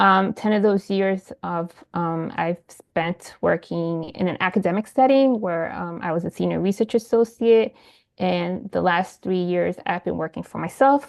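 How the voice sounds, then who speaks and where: A woman speaks in a Spanish accent. Her voice is fairly low, with ordinary pitch variation. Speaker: independent evaluation consultant. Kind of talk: self-introduction. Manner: fast.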